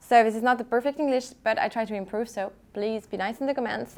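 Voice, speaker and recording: A woman's high-pitched voice in a French accent. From France, Lyon. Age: 20s. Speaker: luxury handbag vlogger. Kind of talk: casual unboxing vlog. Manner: halting, repetitive; excited.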